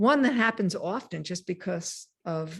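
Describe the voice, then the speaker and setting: A woman speaks with a fairly low pitch and a somewhat breathy voice. Her intonation is lively, and the background is quiet. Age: 60s. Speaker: mindfulness teacher. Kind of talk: lecture.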